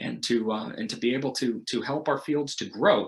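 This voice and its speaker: With an American accent and some vocal fry, a man talks at a medium pitch. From United States. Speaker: missionary. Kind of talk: recorded prayer request message.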